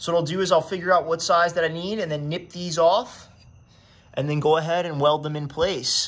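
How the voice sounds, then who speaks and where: A man's high voice at a very fast pace, with fairly even intonation. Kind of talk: tutorial. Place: garage. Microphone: phone near.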